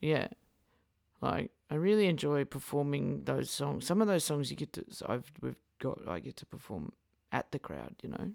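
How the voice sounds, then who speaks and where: A woman with an Australian accent talks at a moderate pace, with big swings in loudness. The sound is dry and close, with no echo. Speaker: singer-songwriter. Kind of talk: casual interview chat.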